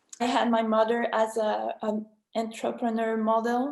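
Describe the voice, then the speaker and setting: A woman with a French accent at a fairly high pitch and very slow pace, on a very clean recording with a silent background. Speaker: business co-owner. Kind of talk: panel talk. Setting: video conference. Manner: halting.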